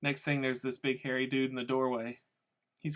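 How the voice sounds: The clip has a natural reading voice set against a quiet background.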